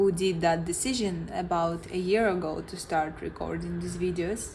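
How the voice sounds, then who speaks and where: In a somewhat breathy voice with a non-native accent, the speaker goes at a fairly slow pace amid audible room echo. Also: woman. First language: not English. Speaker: vlogger. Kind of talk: reflective monologue. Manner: halting.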